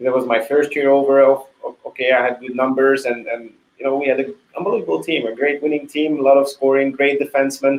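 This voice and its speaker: A very fast man with a Hungarian accent, fairly high in pitch, with fairly even intonation. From Hungary. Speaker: retired hockey goalie. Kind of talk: interview. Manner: halting, many repetitions.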